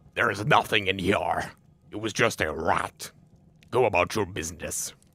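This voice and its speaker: A man's put-on character voice, fairly low in pitch, at a moderate pace, in a very clean recording with a silent background. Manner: calm, dismissive.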